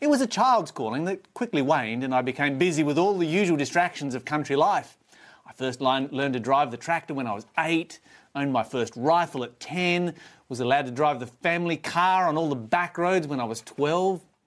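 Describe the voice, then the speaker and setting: An Australian-accented man talks at a fairly quick pace with a fairly high pitch. The recording is very clean, with a silent background. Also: ordinary pitch variation. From Tasmania, Australia. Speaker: preacher. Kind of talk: sermon. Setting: live stream.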